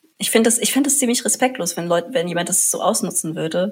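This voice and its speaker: A woman's somewhat breathy, fairly low-pitched voice with lively intonation. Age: young. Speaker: student activist. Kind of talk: casual interview chat. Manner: halting, many fillers.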